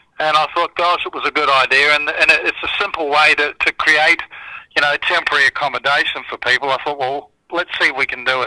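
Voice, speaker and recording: A man with an Australian accent talks at a very fast pace in a dry, close sound with no echo. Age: 60s. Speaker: charity founder and former broadcaster. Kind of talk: radio interview.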